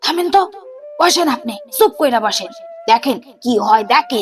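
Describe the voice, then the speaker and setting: A woman's shrill put-on character voice, high in pitch with very wide swings, moves at a moderate pace over music in the background. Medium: read story. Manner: loud, quick, cunning.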